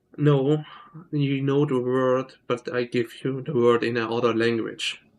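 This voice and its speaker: The speaker has a German accent and a fairly slow pace. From Switzerland. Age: 20s. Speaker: gaming streamer. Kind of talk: casual live stream chat. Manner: halting.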